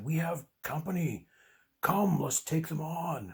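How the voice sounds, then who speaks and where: This put-on character voice is raspy and gruff, at a middle pitch. It moves at a fairly slow pace. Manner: gruff, urgent, battle-ready.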